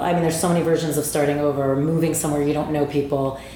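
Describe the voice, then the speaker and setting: Over noticeable background noise and audible room echo, a woman with an American accent talks in a very deep, low voice with monotone, flat intonation. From New Jersey. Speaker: meditation studio owner, former TV executive. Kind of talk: casual interview chat.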